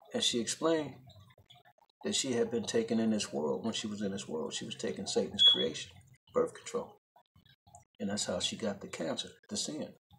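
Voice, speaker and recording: There is noticeable background noise as a man talks at a fairly quick pace. His pauses are long and frequent. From Chicago South Side; Chicago. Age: 40s. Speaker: religious video blogger. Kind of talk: religious monologue vlog. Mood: earnest, preachy. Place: home room. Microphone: phone near.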